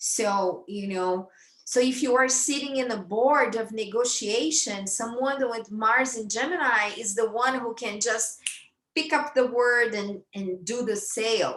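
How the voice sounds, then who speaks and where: Speaking at a fairly slow pace with a Brazilian accent, a woman uses a fairly high pitch and ordinary pitch variation. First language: Brazilian Portuguese. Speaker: astrologer. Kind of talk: lecture. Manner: halting, many fillers and repetitions.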